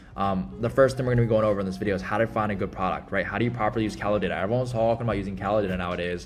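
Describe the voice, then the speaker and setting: Over noticeable background noise, a man with a fairly low pitch talks at a very fast pace with hardly any pauses and ordinary pitch variation. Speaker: dropshipping entrepreneur and YouTube educator. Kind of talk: tutorial. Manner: casual with many fillers.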